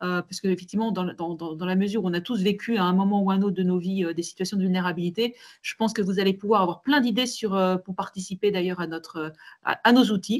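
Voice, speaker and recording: Ordinary pitch variation from a woman at a medium pitch, talking fairly quickly. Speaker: manager and webinar panelist. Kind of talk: online webinar discussion. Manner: fast; hesitant, many repetitions.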